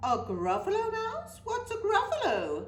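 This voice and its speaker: A woman puts on a squeaky character voice at an extremely high pitch. She keeps a moderate pace over clear background noise. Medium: read story. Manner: hooting.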